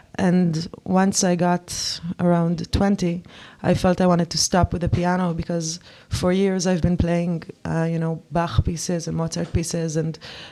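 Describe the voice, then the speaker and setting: A woman's fairly low, dark and mellow voice with an Israeli accent, flat monotone intonation and a moderate pace. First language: Hebrew. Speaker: musician and songwriter. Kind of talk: interview. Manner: halting.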